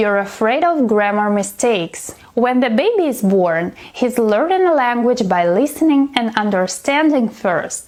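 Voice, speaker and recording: A woman with a non-native accent speaks at a fairly slow pace in a high voice, her pitch swinging very widely over noticeable background noise. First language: not English. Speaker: English teacher. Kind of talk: tutorial.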